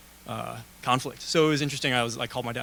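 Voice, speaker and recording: A man with an American accent, medium pitch, fairly even intonation and a very fast pace. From Wisconsin, Madison. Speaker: military veteran student panelist. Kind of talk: panel discussion.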